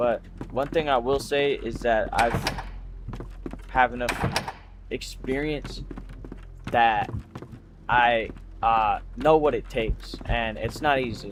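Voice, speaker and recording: Long, frequent pauses mark this very slow speech, heard with audible room echo and noticeable background noise. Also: man. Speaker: streamer. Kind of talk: casual livestream monologue. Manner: halting.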